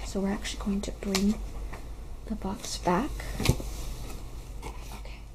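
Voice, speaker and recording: A woman speaks in a soft-spoken voice with a gentle tone. Noticeable background noise can be heard. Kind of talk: ASMR unboxing, soft-spoken talk to camera. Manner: soft-spoken, gentle.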